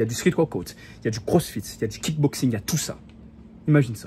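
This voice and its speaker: A man talks at a very fast pace with lively intonation. His medium-pitched voice is somewhat breathy, with a dark, mellow tone. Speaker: self-improvement youtuber. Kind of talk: motivational talk to camera. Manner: casual, animated.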